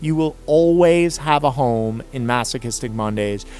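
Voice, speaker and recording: Music plays behind a man speaking at a fairly slow pace. His intonation is lively. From California. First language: not English. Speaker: freestyle rap cypher host. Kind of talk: explaining rules to viewers. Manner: long-winded, many filler words.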